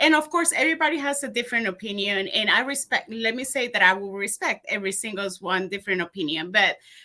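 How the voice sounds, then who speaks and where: Very fast delivery in a Colombian accent, with lively intonation and a bright, sharp tone. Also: woman. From Colombia, Bogota. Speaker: community leader and educator. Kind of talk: interview.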